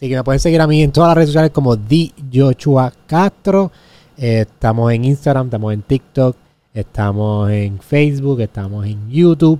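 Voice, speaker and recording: In a Puerto Rican accent, a man speaks with a dark, mellow tone and lively intonation. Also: medium pitch for a man, moderate pace. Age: 20s. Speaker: podcast host. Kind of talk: casual interview chat; show intro and outro.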